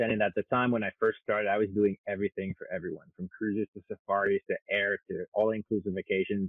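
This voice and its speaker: A man speaks at a very fast pace in a flat, monotone way. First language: French. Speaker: airfare consultant. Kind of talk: interview.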